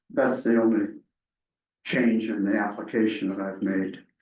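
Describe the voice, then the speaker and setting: Audible room echo surrounds a man speaking at a medium pitch with a dark, mellow tone. His pace is moderate and his intonation fairly even. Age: 80s+. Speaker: zoning applicant, property owner. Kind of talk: public hearing testimony.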